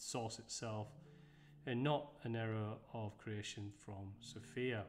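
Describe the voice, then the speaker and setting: Light background noise accompanies a man whose pitch varies in an ordinary way. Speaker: presenter. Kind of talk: lecture. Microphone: webcam.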